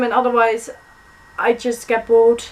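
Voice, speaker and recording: A woman speaks with a high pitch. Noticeable background noise can be heard. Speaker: booktuber. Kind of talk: book haul vlog. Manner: fast; animated.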